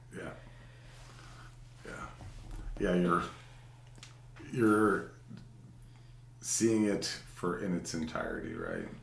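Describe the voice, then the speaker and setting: Long, frequent pauses break up a man's very slow speech, his pitch fairly low with ordinary variation. Room echo is audible. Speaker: podcast co-host. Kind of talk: casual chat. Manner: loud.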